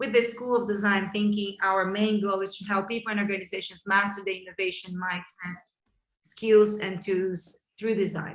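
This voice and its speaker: With a Brazilian Portuguese accent, a woman speaks at a medium pitch and a moderate pace. Her intonation stays fairly even. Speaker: chief design officer hosting a webinar. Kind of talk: webinar introduction. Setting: online webinar.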